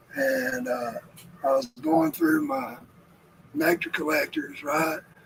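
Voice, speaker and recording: Amid noticeable background noise, a man speaks with a Southern US accent. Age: 50s. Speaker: homestead livestreamer. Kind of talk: casual chat. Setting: live stream. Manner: relaxed.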